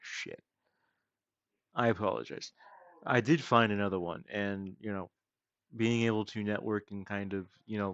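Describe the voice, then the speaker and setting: Speaking at a moderate pace with long, frequent pauses, a man uses a fairly low voice and ordinary pitch variation. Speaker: gaming streamer. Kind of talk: casual live stream chat. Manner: awkward pauses, uneven rhythm; halting, repeats words.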